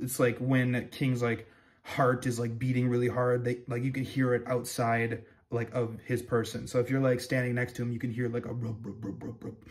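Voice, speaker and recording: Speaking fairly quickly, a man with a medium-pitched, somewhat breathy voice keeps a flat, monotone intonation. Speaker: manga review youtuber. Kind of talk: casual review commentary. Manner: halting, many fillers and restarts.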